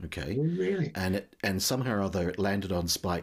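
Moderate pace from a man with a very deep, low pitch, on a very clean recording with a silent background. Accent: New Zealand. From New Zealand. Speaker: podcast host. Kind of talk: casual interview chat.

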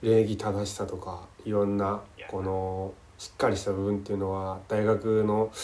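A man talks at a moderate pace with a dark, mellow tone. His intonation is monotone and flat. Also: fairly low pitch for a man. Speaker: podcast host. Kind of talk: casual chat. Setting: call recording. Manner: halting, many fillers.

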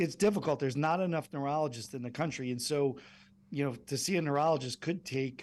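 A man with a normal speaking voice uses a fairly high pitch and ordinary pitch variation. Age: 50s. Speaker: medical device company executive. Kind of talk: interview.

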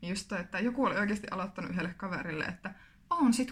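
Lively intonation from a woman at medium pitch, against noticeable background noise. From Finland, Kuopio (Savo). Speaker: podcast co-host, student teacher. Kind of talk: casual chat.

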